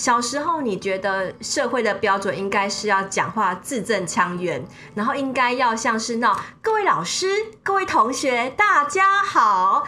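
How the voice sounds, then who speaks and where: Music plays in the background as a woman talks at a moderate pace. Her intonation is lively, and room echo is audible. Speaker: media executive and former journalist. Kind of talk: interview, personal storytelling. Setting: studio. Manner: animated.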